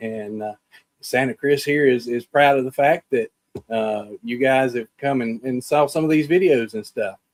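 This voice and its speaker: Heard in a dry, close sound with no echo, a man with a Southern US accent speaks at a moderate pace with ordinary pitch variation. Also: medium pitch for a man. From US South. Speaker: podcast host. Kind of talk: video call interview.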